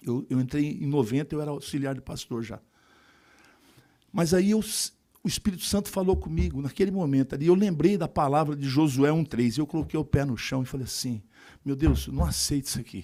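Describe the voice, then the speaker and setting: Recorded very cleanly with a silent background, a man speaks at a fairly quick pace in a dark, mellow tone. His intonation is lively, broken by long, frequent pauses. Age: 60s. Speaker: politician and evangelical pastor. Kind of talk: speech at graduation ceremony.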